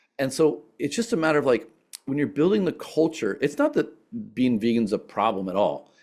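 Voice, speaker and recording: Fairly high-pitched man with vocal fry, very wide pitch swings, and a fairly quick pace on a very clean recording, silent background. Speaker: sustainability entrepreneur and speaker. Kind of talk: presentation Q&A. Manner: fast.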